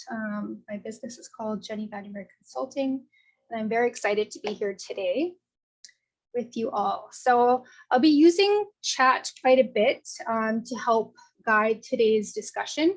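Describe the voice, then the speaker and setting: Somewhat breathy and fairly high-pitched, a woman speaks at a moderate pace with ordinary pitch variation and big swings in loudness. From Northwest Territories, Canada (Sahtu region, Dene). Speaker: project coordinator and consultant facilitating a session. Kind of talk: online info session facilitation.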